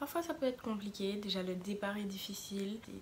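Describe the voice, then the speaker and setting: The woman has a plain, everyday voice. Medium in pitch, it varies in an ordinary way. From Martinique. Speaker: vlogger, student. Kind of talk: casual vlog talk.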